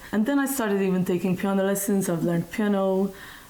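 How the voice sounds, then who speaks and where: A woman speaks in a Maltese accent. Her pitch variation is ordinary. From Malta. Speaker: music teacher. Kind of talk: interview.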